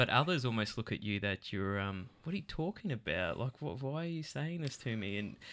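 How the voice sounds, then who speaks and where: On a very clean recording, silent background, a man with an Australian accent speaks at a moderate pace with lively intonation. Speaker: podcast host. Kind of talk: interview discussion. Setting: studio.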